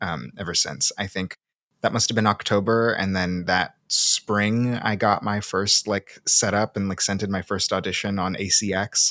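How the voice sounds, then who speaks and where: A man's fairly low voice with a Pacific Northwest accent, bright and sharp in tone, fairly even in intonation, at a moderate pace, in a dry, close sound with no echo. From US Pacific Northwest (Seattle), born in Brazil. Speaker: audiobook narrator and podcast co-host. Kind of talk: casual interview chat.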